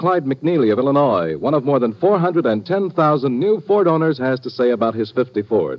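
The voice moves at a fairly quick pace with an upbeat tone and very wide pitch swings. Noticeable background noise is present. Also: man. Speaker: commercial announcer. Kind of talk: radio commercial read. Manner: smooth, upbeat, salesman-like.

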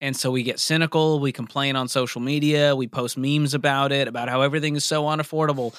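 A man's normal speaking voice, fairly high in pitch, with an American accent and a fairly quick pace, on a very clean recording with a silent background. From US Northeast, Boston. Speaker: personal finance radio cohost. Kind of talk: podcast interview.

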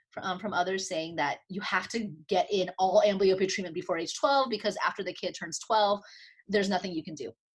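A woman talks at a fairly quick pace. Her pitch is medium, with ordinary pitch variation. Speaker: optometrist and clinical professor. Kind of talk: interview. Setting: video call. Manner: fast.

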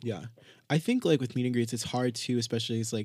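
A man is speaking. The pitch of his voice is medium. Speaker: podcast host. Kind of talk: casual chat. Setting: studio.

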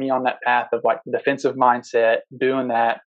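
In an Alabama accent, a man speaks at a medium pitch. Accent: Southern US (Alabama). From US South, Tuscaloosa, Alabama. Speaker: competitive pistol shooter. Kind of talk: casual interview. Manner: hesitant, many fillers.

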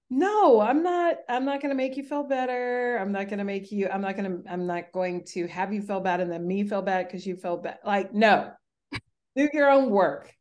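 Her pitch is medium for a woman. The speaker has a plain, everyday voice. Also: lively intonation, moderate pace. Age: 40s. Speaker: yoga teacher. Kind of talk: casual chat.

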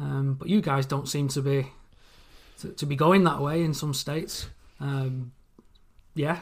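A somewhat breathy man with an English accent, fairly high in pitch, fairly slow and fairly even in intonation, with long, frequent pauses on a very clean recording with a silent background. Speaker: listener fan guest. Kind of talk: casual interview.

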